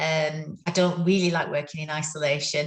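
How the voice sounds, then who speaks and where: In a very deep, low voice, a woman speaks with monotone, flat intonation and a somewhat breathy quality. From northern England. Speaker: neuro-occupational therapist. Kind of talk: interview. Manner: halting, many fillers.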